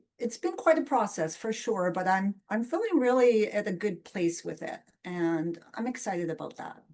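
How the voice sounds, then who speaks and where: A woman's normal speaking voice, fairly high in pitch, with lively intonation at a moderate pace. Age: 50s. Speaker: community member with nystagmus. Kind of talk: casual chat.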